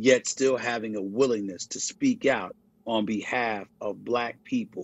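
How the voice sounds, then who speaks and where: This man has a normal speaking voice at a medium pitch. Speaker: sports journalist and commentator. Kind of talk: interview answer.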